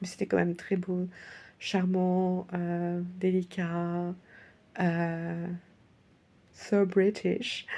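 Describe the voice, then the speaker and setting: A soft-spoken woman talks at a medium pitch with a dark, mellow tone. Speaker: vlogger. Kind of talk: personal video diary. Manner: hesitant, many fillers; soft, sleepy.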